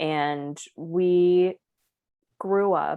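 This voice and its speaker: A woman with an American accent talks in a fairly low pitch with ordinary pitch variation. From Florida, US. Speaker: podcast co-host. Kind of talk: casual chat. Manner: low energy.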